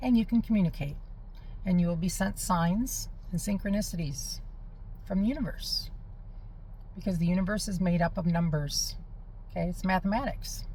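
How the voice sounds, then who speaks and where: A woman's voice comes across somewhat breathy. Audible room echo surrounds it. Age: 50s. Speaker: spiritual healing vlogger. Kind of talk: casual monologue. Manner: conversational, with fillers and restarts.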